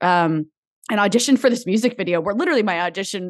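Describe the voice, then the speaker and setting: A woman speaks in a normal speaking voice at a medium pitch, with lively intonation. Her pace is fairly quick, and the background is quiet. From New Jersey. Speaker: actress and TV host. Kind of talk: interview conversation.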